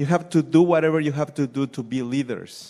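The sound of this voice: Ordinary pitch variation marks a man's voice, which has a dark, mellow tone and fairly high pitch.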